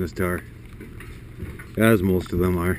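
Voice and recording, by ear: Speaking at a fairly quick pace, a man has a low pitch and a slightly mellow tone.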